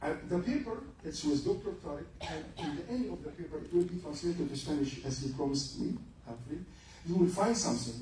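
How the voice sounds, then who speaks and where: A man with an Egyptian accent, fairly high pitch and lively intonation at a fairly quick pace, amid noticeable background noise and audible room echo. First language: Arabic. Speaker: lecturer, retired general. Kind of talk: lecture.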